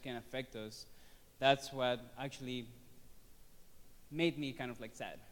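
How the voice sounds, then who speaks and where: A man with a Spanish accent. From Venezuela. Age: 30s. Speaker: student. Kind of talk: personal testimony presentation. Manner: halting, many fillers.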